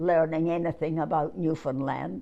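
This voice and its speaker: With music in the background, a woman speaks at a fairly slow pace, with a fairly low pitch and ordinary pitch variation. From Scotland. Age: 80s+. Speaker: war bride. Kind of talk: interview answer.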